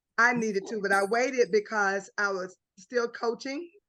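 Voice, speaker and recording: A woman's bright, sharp tone at a moderate pace with ordinary pitch variation. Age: 60s. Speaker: basketball coach. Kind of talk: casual chat.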